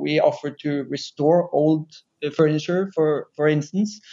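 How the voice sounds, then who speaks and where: Speaking in a Norwegian accent, a man talks at a fairly high pitch and a fairly slow pace with monotone, flat intonation. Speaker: furniture company CEO. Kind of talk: interview conversation. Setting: remote recording.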